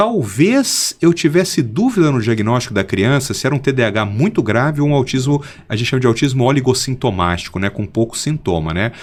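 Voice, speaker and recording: This man has an ordinary speaking voice at medium pitch with lively intonation. He talks at a fairly quick pace with hardly any pauses. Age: 50s. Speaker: pediatric neurologist. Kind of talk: interview.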